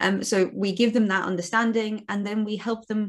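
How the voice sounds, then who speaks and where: A woman's medium-pitched, somewhat breathy voice. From Cape Town, South Africa. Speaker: marketing agency owner, guest. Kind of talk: interview chat.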